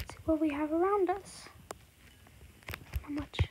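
Against noticeable background noise, a woman with an extremely high pitch speaks at a fairly slow pace and with fairly even intonation. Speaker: gaming YouTuber. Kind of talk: gameplay commentary.

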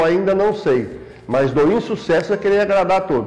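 Here a man talks at a moderate pace in a high pitch. His pitch variation is ordinary. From Brazil, São Paulo state. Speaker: former city councillor. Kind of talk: interview testimony. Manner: formal. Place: office. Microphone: lapel.

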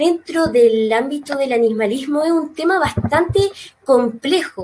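Speaking at a fairly slow pace, a woman with a high pitch uses lively intonation over light background noise. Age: 20s. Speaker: animal rights campaign spokesperson. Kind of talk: online talk. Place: home room. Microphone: earbuds.

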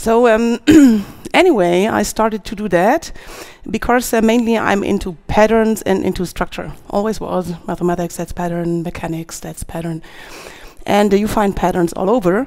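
In a quiet setting, a woman speaks at a moderate pace with ordinary pitch variation. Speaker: conference speaker. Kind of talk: conference talk. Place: stage. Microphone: headset.

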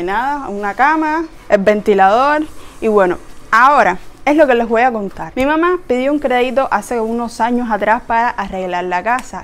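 With a Cuban accent, a woman speaks at a moderate pace with lively intonation. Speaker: vlogger. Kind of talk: casual house tour talk to camera. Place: home room. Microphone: lapel.

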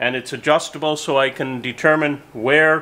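The pace is fairly slow. The tone is bright and sharp. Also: man. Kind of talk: tutorial. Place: workshop.

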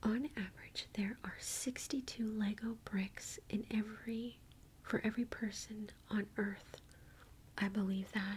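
A soft-spoken, somewhat breathy woman with an American accent, gentle in tone, fairly high in pitch, flat and monotone, at a very slow pace over light background noise. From United States. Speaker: ASMR video creator reading facts. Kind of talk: whispered ASMR reading of trivia. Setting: home recording with book, tapping and page turning. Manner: soft-spoken, gentle, slow and intimate; playful, reacting with curious surprise.

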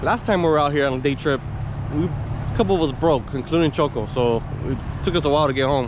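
Over noticeable background noise, a man talks at a very fast pace in a dry recording with no echo. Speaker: vlogger. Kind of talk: casual vlog chat. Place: station. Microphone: phone near.

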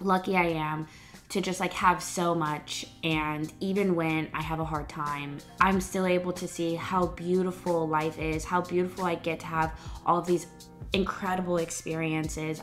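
With faint music in the background, a woman speaks at a fairly low pitch and a moderate pace in a monotone, flat delivery. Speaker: lifestyle vlogger. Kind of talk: casual vlog chat. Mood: warm, reflective. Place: home room. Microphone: phone near.

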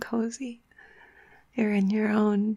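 The tone is warm and soothing. The pace is very slow. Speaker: ASMR creator guiding relaxation. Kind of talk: guided meditation, cozy visualization. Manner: soft, slow, soothing and intimate, with gentle hums and sighs; warm and reassuring, chatty, with small laughs.

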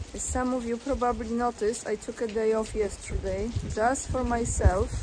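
Noticeable background noise behind a fairly slow delivery. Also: woman. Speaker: video blogger commenting on news. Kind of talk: reading an article aloud with commentary. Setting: outdoors. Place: waterside. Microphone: phone near.

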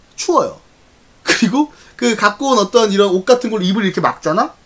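With lively intonation, a man's speech moves at a fairly quick pace. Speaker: live streamer. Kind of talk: casual storytelling to stream viewers. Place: home room. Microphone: studio mic.

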